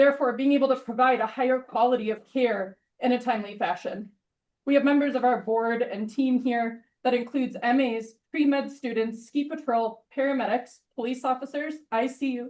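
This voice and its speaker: Loud and high-pitched, a woman speaks at a moderate pace with fairly even intonation. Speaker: ER nurse and volunteer EMT. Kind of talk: public comment at a meeting. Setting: village board meeting room. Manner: reading prepared statement.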